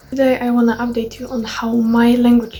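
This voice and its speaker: A woman with a high pitch speaks at a fairly slow pace. Background noise is noticeable. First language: Polish. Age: 20s. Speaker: language learning vlogger. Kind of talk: vlog update. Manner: halting.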